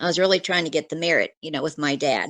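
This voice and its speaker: With a US Midwestern accent, a woman speaks at a fairly low pitch in a bright, sharp tone, her pitch varying in an ordinary way. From US Midwest, Kansas. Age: 60s. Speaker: retired nurse, eyewitness. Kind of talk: interview testimony.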